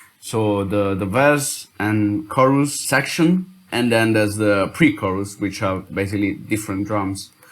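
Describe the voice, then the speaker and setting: A man with an Italian accent, fairly low in pitch, at a fairly slow pace with ordinary pitch variation and hardly any pauses. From Italy. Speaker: music producer. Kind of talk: tutorial. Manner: halting.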